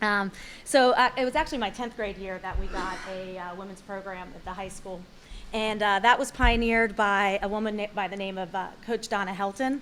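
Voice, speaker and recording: A woman speaks at a medium pitch and a fairly quick pace. Her pitch varies in an ordinary way while her loudness swings widely. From South Carolina, Fort Mill. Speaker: hall of fame inductee. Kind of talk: acceptance speech. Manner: fast; hesitant, many fillers.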